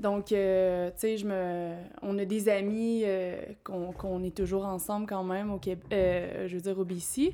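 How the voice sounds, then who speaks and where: A woman's medium-pitched, dark, mellow voice, monotone and flat in intonation, at a very slow pace. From Quebec, Abitibi-Témiscamingue. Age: 20s. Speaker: tree planter. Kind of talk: casual interview.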